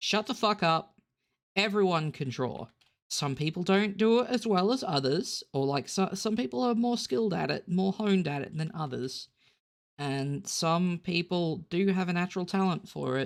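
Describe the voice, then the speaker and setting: A very clean recording with a silent background, in an Australian accent. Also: moderate pace. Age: 30s. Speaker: digital artist. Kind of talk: drawing tutorial. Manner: halting, many fillers and repeats.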